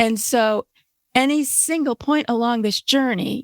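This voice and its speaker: An unremarkable speaking voice, heard dry and close with no echo, with fairly even intonation. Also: woman. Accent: American. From California. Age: 60s. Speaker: writer and journalist. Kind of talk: casual interview chat.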